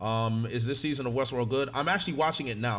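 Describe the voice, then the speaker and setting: The delivery is animated and very fast, with ordinary pitch variation. Room echo is audible. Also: man. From Africa. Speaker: streamer reacting to anime. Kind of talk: live stream chat. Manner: loud.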